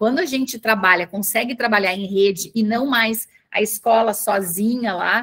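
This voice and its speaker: With a Porto Alegre accent, a woman speaks at a fairly high pitch. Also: ordinary pitch variation, moderate pace. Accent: gaúcho (Porto Alegre). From southern Brazil, Porto Alegre. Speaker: communications manager, former teacher. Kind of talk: panel talk. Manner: halting, many fillers.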